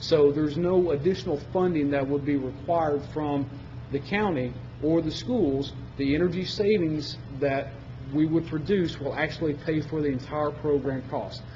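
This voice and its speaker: Noticeable background noise fills the clip. Audible room echo is present too. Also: man, fairly high pitch for a man, ordinary pitch variation. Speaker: energy services sales presenter. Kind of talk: presentation to county commission. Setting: public meeting. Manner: fast.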